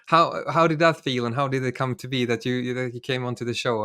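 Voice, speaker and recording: At a very fast pace, a man with a Swedish accent speaks in a medium pitch with a bright, sharp tone. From Sweden. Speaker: podcast host. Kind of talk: interview. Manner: halting.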